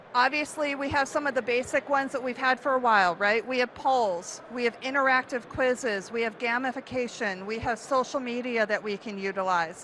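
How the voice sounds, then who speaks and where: The speaker's pitch varies in an ordinary way, with noticeable background noise behind the voice. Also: woman, high pitch for a woman, fairly quick pace, hardly any pauses. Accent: American. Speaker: event marketing speaker. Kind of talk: conference talk. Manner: animated.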